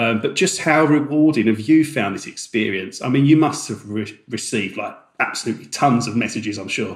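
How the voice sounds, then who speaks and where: A man speaks at a fairly quick pace in a normal speaking voice. His pitch varies in an ordinary way. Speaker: podcast co-host. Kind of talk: podcast discussion.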